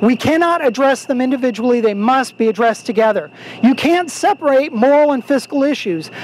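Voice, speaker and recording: Noticeable background noise fills the recording. The talking goes at a fairly quick pace. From Texas. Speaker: political advocacy speaker. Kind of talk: speech at outdoor rally. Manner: energetic, rousing.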